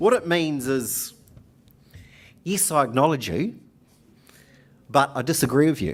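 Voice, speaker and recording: The speaker's intonation is lively, delivered at a fairly slow pace with long, frequent pauses, in a very clean recording with a silent background. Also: man. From New Zealand. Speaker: union organiser. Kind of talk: conference speech. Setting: conference hall with audience. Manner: hesitant, with fillers.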